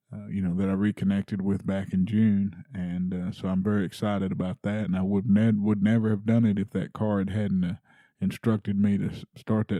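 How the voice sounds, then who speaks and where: In a very clean recording with a silent background and a dry, close sound with no echo, a man speaks at a moderate pace with a fairly low pitch and monotone, flat intonation. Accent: Texas. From Texas. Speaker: podcast host. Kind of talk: casual monologue; casual interview. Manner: halting, many fillers.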